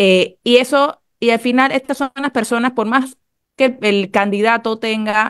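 Speaking at a moderate pace with a fairly high pitch and ordinary pitch variation, this woman has a plain, everyday voice, recorded with a dry sound with no echo against a quiet background. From Panama. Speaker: radio panelist. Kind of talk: radio panel discussion. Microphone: video call.

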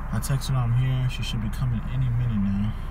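Noticeable background noise around a male speaker. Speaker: vlogger surprising girlfriend. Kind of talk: casual vlog chat. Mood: playful, excited. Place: car. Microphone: phone near.

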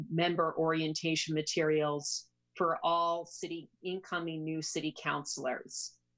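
With a fairly low pitch, a woman speaks at a moderate pace over a quiet background. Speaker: city councilor. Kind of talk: formal meeting statement. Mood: earnest, persuasive. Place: home room. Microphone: video call.

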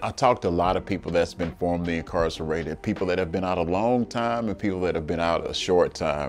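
Over light background noise, a man with a very deep, low pitch and ordinary pitch variation rattles along at a very fast pace with hardly any pauses. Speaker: interviewee. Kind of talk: interview answer. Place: office. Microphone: lapel.

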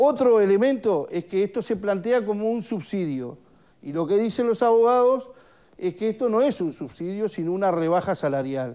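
Against a quiet background, a man with a dark, mellow tone and lively intonation talks at a moderate pace. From Uruguay. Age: 50s. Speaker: trade union leader; guest. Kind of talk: TV studio interview. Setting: studio. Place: studio.

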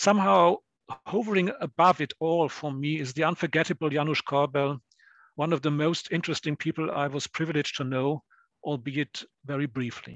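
Fairly quick and fairly high, a man talks in a plain, everyday voice with ordinary pitch variation. The sound is dry and close with no echo, over a quiet background. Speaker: historian and discussant. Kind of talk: academic seminar discussion.

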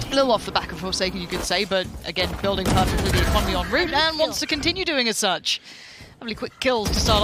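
The speech moves at a very fast pace. Noticeable background noise sits underneath. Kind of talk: esports commentary. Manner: animated, fluent play-by-play with excited bursts.

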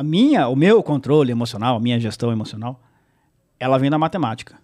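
Ordinary pitch variation marks this man's speech. Behind him, things are quiet. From São Paulo state interior, Brazil (Salto); São Paulo state, Brazil. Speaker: sports journalist and play-by-play narrator; sports journalist, play-by-play narrator. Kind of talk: casual interview chat. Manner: halting, many repetitions. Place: studio. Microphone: studio mic.

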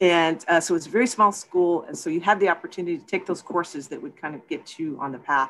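A woman with a Texan accent talks very fast at a fairly low pitch, with hardly any pauses. Her loudness swings widely, while her pitch varies in an ordinary way. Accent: Texas American English. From Texas, San Antonio. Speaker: film producer. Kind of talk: interview.

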